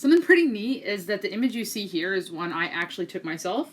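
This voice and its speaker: A woman talks at a fairly quick pace in an enthusiastic tone. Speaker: student. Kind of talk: class presentation.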